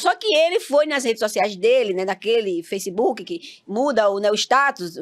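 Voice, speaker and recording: Using very wide pitch swings, a woman speaks with a northeastern Brazilian accent. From Northeast Brazil, Campina Grande, Paraíba. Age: 50s. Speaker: reality TV participant. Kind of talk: interview.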